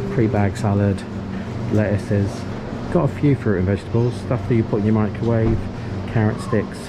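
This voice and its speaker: Loud background noise accompanies speech at a fairly quick pace. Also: man. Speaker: vlogger. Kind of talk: casual vlog chat. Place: shop. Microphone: phone near.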